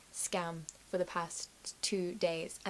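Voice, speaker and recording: A woman is talking. Her accent is British. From Britain.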